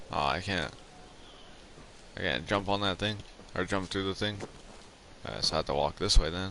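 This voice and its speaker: Vocal fry and a bright, sharp tone, moderate pace, ordinary pitch variation and long, frequent pauses. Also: man, very deep, low pitch for a man. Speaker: gaming streamer. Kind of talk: casual chat. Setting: live stream.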